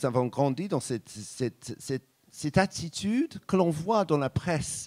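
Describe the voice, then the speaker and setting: In a very clean recording with a silent background and a dry, close sound with no echo, a man talks with lively intonation. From Britain. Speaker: journalist and radio host. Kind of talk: public talk answer.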